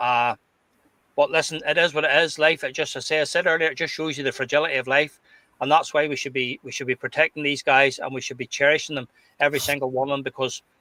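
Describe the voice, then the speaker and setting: A man with a Glasgow accent talks at a very fast pace with a fairly high pitch and a bright, sharp tone. His intonation is fairly even, with a dry, close sound with no echo. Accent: Scottish (Glasgow). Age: 60s. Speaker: football podcast panelist. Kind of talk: casual chat. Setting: live stream. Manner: halting, repeats words.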